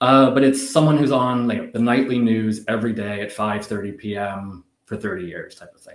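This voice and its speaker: A man with a Canadian accent talks at a moderate pace with hardly any pauses, ordinary pitch variation and big swings in loudness. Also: medium pitch for a man. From Canada. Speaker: business executive. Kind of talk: casual interview chat. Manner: hesitant, many fillers.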